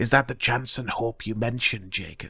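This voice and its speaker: Using a put-on character voice, a man speaks at a moderate pace in a monotone, flat intonation. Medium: read story.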